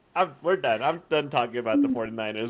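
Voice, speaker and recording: A man speaks at a very fast pace. Background noise is noticeable. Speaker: sports podcast co-host. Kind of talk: casual chat.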